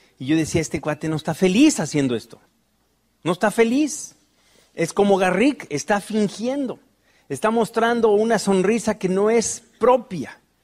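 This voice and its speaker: In an animated tone, a man with a high pitch speaks at a fairly slow pace with lively intonation. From Mexico City. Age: 40s. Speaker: motivational speaker. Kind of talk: motivational talk.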